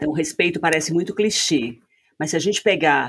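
At a moderate pace, a woman with an ordinary speaking voice talks at a fairly low pitch with ordinary pitch variation. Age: 60s. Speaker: couples therapist. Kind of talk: casual chat.

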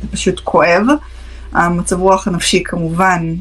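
This woman's voice has a fairly low pitch, and she talks at a very slow pace. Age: 30s. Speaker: psychotherapist. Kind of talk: live-stream Q&A talk. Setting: live stream.

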